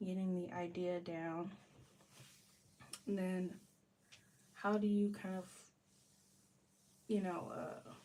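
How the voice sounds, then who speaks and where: A woman speaks at medium pitch, somewhat breathy. Her intonation is flat and monotone. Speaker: art student and livestreamer. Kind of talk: casual livestream chat while drawing. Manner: hesitant, many fillers.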